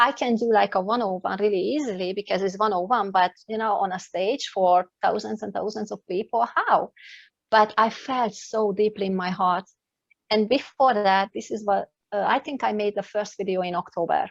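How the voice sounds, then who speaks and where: A woman speaks with a non-native accent in a medium pitch. Her intonation is fairly even, and the background is quiet. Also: moderate pace, dry, close sound with no echo. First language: not English. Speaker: life coach and speaker. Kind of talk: interview. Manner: halting.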